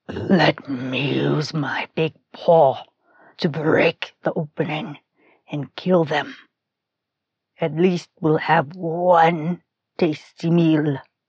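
Growling in a put-on character voice at a middle pitch, the speaker goes very slowly with long, frequent pauses. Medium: read story. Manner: blunt, gruff.

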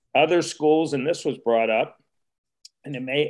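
With an American accent, a man talks in a fairly high pitch. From Wheeling, West Virginia. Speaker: retired resort executive. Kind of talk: panel discussion.

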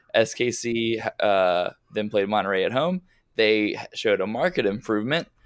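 A man with an American accent speaks at a moderate pace in a medium pitch, using an unremarkable speaking voice with lively intonation, on a very clean recording with a silent background. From Westchester, New York. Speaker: soccer podcast host. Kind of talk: casual chat.

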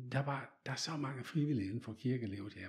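A man with a medium pitch speaks at a moderate pace, somewhat breathy, with ordinary pitch variation. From Netherlands. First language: Dutch (speaking Danish). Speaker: photographer. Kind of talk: interview. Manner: halting.

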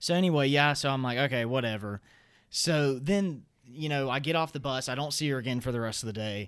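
Using ordinary pitch variation, a man speaks at a fairly quick pace. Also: medium pitch for a man, very clean recording, silent background. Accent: Southern US. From US South. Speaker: college student and podcast co-host. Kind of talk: casual chat.

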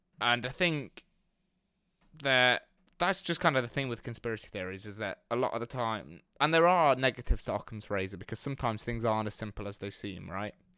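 A man with an English accent, medium pitch and a bright, sharp tone, talking at a fairly quick pace with lively intonation in a very clean recording with a silent background. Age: 20s. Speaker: podcast co-host, university student. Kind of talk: casual chat.

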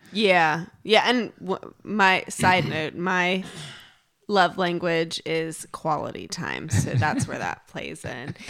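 A woman speaks very slowly with fairly low pitch and vocal fry. Her pitch varies in an ordinary way while her loudness swings widely. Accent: American. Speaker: podcast co-host. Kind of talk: casual chat.

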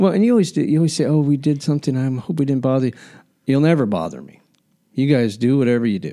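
Very fast and with lively intonation, a man talks at a fairly high pitch in a dark, mellow tone. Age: 50s. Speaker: podcast host, hairstylist. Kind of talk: casual interview.

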